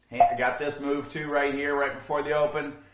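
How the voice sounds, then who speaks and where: A man with a fairly high pitch is heard through audible room echo and noticeable background noise. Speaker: day trading educator. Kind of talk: tutorial. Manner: fast; casual.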